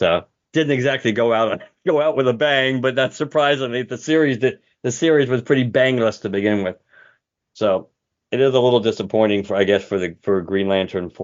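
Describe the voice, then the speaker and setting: A man talks at a fairly quick pace in an ordinary speaking voice. His pitch sits in the medium range. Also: ordinary pitch variation. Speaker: podcast host. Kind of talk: casual chat.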